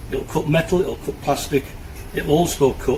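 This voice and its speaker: Fairly high pitch from a male speaker, with noticeable background noise behind him. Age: 60s. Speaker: tool reviewer. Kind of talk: product review tutorial. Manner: casual, slightly halting.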